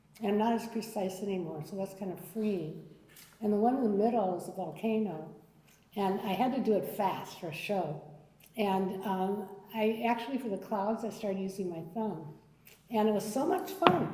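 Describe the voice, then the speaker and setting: Noticeable background noise and audible room echo surround a woman speaking at a moderate pace, her medium pitch showing ordinary variation. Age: 70s. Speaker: artist with Parkinson's. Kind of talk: panel discussion. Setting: art gallery with audience.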